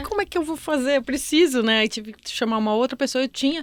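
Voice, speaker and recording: A woman's voice sits high, with ordinary pitch variation. She talks very fast. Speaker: podcast host. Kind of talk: casual conversation.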